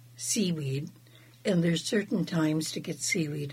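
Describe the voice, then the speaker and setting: Somewhat breathy, a woman speaks with a very deep, low pitch and ordinary pitch variation. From Southeast Alaska, Wrangell. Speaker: fry bread maker, traditional food preparer. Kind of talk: casual interview.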